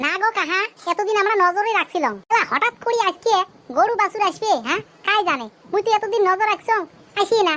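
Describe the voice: Doing a cartoonish character voice at an extremely high pitch, a woman talks at a fairly quick pace with ordinary pitch variation and very even loudness.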